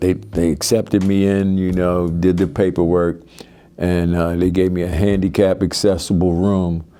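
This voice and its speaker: Over music in the background, the speaker talks at a moderate pace with fairly even intonation in a Baltimore accent. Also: man. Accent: Baltimore American. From US, Baltimore. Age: 60s. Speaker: military veteran in recovery. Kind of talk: testimony. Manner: halting.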